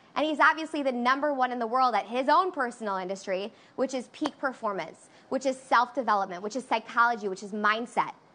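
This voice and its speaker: Over noticeable background noise, a woman speaks very fast in a high voice with lively intonation. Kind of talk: pep talk. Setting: online livestream. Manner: hyped, call-and-response, shouting.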